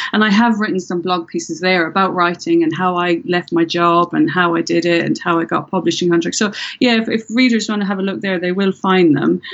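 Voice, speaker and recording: Speaking at a fairly quick pace with hardly any pauses, a woman in an Irish accent has a medium pitch and ordinary pitch variation. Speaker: thriller author, former police detective. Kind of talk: interview.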